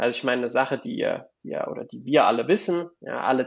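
Keeping a moderate pace, the man talks at a medium pitch. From Germany, Palatinate (Kaiserslautern). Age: 20s. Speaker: real estate investor. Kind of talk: interview. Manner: halting, repeats words.

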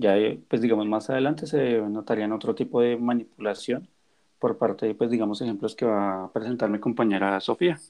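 A man with an ordinary speaking voice talks at a fairly quick pace, at medium pitch with ordinary pitch variation. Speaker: university student, podcast co-host. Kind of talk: presentation.

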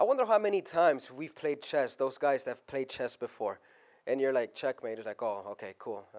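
Over a quiet background, a man speaks at a medium pitch and a fairly quick pace. His tone is animated and his intonation lively. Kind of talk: sermon. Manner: animated, conversational, call-and-response with the congregation; halting with fillers, then building to fervent exhortation.

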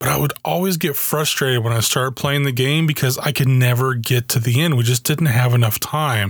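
With an American accent, the speaker talks at a fairly quick pace with hardly any pauses and a somewhat breathy voice. Pitch varies in an ordinary way while loudness stays very even. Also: man, medium pitch for a man. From Germany (US army family). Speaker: podcast host. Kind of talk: solo podcast monologue.

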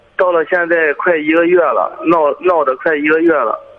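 A man's high voice at a fairly slow pace, with fairly even intonation over noticeable background noise. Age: 20s. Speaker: caller. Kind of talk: phone-in personal story.

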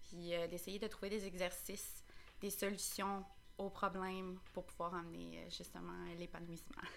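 In a Quebec accent, a woman speaks at a fairly slow pace with audible room echo. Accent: Québécois French. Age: 20s. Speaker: school custodian. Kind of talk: casual chat. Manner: halting. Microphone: too far from the mic.

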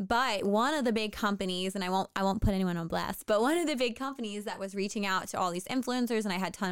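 A woman with an American accent speaks at a very fast pace, her pitch fairly high with ordinary variation. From US Mid-Atlantic, near Washington DC. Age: 30s. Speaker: fitness coach and entrepreneur. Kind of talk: casual interview.

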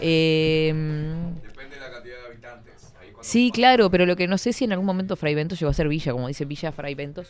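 A woman with a very deep, low pitch talks at a very fast pace in an animated tone. Her intonation is lively, and her loudness swings widely. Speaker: radio host. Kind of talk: casual chat. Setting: studio.

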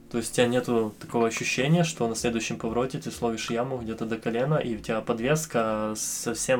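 There is noticeable background noise as a man at medium pitch talks at a very fast pace. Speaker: immigrant sharing his story. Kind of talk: casual interview.

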